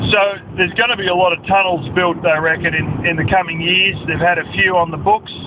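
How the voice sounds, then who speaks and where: With an Australian accent, this man talks at a fairly quick pace in a high pitch, keeping his intonation fairly even over noticeable background noise. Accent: Australian, slurred. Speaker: vlogger, industrial equipment worker. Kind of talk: casual vlog monologue. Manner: rambling, filler-heavy.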